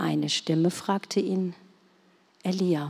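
A somewhat breathy woman's voice, fairly low-pitched, at a very slow pace. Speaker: scripture reader. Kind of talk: reading aloud. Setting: church.

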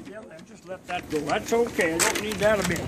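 Loud background noise sits behind a man talking. His voice is high, with ordinary pitch variation. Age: 80s+. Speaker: auctioneer. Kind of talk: casual talk to audience. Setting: live event hall, microphone. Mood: warm and folksy. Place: hall. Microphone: pa.

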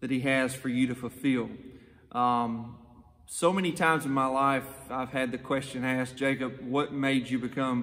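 A man speaks at a moderate pace. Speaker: youth pastor. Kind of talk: sermon. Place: hall. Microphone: phone near.

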